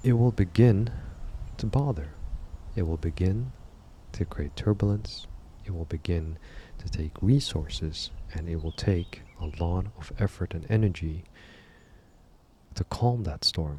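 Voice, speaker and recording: Soft-spoken and somewhat breathy, a man with a very deep, low pitch and a dark, mellow tone uses lively intonation at a fairly slow pace, leaving long, frequent pauses. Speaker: reflection channel host. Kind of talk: spoken reflection.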